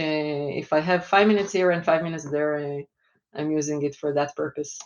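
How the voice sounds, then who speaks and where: The speaker has an Israeli accent. The pace is fairly quick. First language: Hebrew. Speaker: finance executive. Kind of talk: interview. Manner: hesitant, many fillers.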